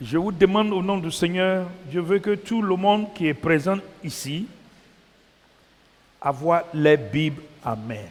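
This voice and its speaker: Noticeable background noise surrounds a man speaking at a very slow pace. His high-pitched voice has lively intonation and long, frequent pauses. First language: English (speaking French). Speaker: preacher. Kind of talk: sermon.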